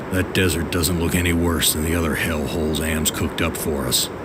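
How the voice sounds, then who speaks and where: A man's put-on character voice, very deep and low, at a fairly quick pace over loud background noise. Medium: machinima. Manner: weary, brooding.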